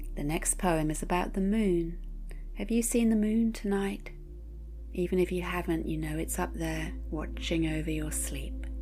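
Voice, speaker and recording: A woman speaks in a gentle, soothing tone at a moderate pace. Music plays in the background. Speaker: poetry reader. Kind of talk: bedtime poetry reading. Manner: gentle, soothing, calm.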